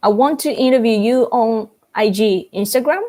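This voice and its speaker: A woman with a Japanese accent speaks at a fairly slow pace in a fairly high pitch. Her tone is dark and mellow, with ordinary pitch variation. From Japan, Fukuoka. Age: 30s. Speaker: YouTuber. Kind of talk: live stream Q&A reading chat. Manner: casual, animated.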